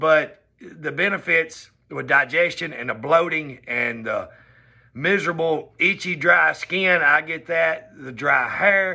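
A man with a Southern US accent, fairly high pitch and a bright, sharp tone, very slow pace, ordinary pitch variation, big swings in loudness and a quiet background. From US South. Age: 40s. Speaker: vlogger. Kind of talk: personal vlog monologue. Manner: casual, conversational. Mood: upbeat, earnest. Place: home room. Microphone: phone near.

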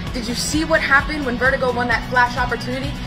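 Clear music plays behind a woman as she talks. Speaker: wrestling ring announcer. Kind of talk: wrestling promotion news announcement.

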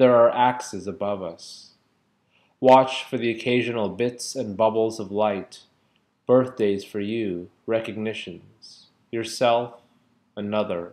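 A man talks very slowly, his intonation staying fairly even. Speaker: poetry reader. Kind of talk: poetry reading. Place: home room. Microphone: webcam.

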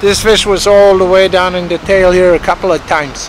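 The speech moves at a moderate pace. Music plays in the background, and the sound is dry with no echo. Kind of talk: casual vlog chat. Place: waterside.

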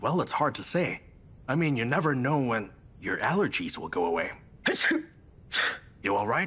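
A man does a put-on character voice at a medium pitch and moderate pace, with long, frequent pauses over light background noise. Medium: fan dub. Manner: gentle, advising.

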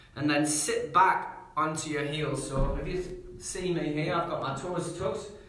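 A man's high-pitched voice with audible room echo. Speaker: yoga instructor. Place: home room. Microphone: camera far.

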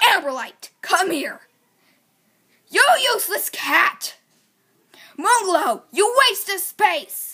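A put-on character voice shouts at a very slow pace. Long pauses come often. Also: woman, extremely high pitch for a woman. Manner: grumpy, shouting.

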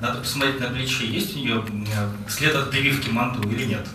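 Audible room echo and light background noise around a man's voice. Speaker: executive director of a foundation. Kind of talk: presentation. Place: hall.

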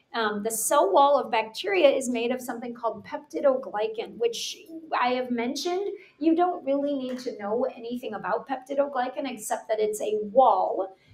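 A high-pitched woman's voice with lively intonation, at a moderate pace, with audible room echo. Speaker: teacher. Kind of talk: lecture. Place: home room. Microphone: webcam.

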